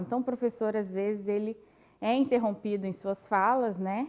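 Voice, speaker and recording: Against a quiet background, a woman with a Minas Gerais accent speaks at a fairly high pitch with ordinary pitch variation. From Brazil, Minas Gerais (Caeté). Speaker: teacher. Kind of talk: panel discussion.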